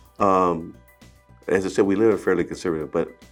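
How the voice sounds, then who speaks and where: Someone talks with an American accent while music plays in the background. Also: man. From South Central Los Angeles. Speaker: city councilman, Air Force veteran. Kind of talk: interview answer. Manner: casual, conversational with hesitations.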